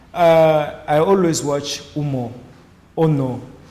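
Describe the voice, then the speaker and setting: A man's voice shows ordinary pitch variation, with audible room echo around it. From DR Congo. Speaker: judo athlete. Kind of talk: interview answers. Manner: halting, many fillers.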